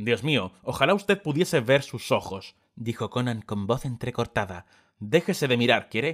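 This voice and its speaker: A man with an ordinary speaking voice, medium pitch, lively intonation and a moderate pace, on a very clean recording with a silent background. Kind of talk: dramatic audiobook narration.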